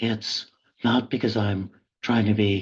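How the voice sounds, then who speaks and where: The voice is somewhat breathy. It moves at a fairly slow pace. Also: man. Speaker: professor and public intellectual. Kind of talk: webinar lecture. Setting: video call from office. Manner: halting, deliberate.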